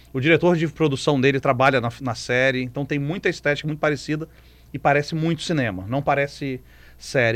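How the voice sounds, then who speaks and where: At a fairly quick pace, a man speaks with a Brazilian accent and a fairly high pitch. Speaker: film critic. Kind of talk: radio film review segment. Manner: animated, conversational.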